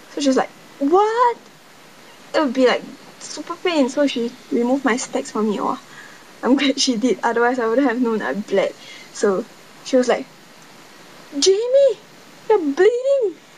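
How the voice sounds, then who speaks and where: With a Singaporean accent, a woman speaks at a moderate pace and a high pitch, her voice swinging very widely, with long, frequent pauses and noticeable background noise. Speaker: vlogger. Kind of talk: casual vlog storytelling. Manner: halting.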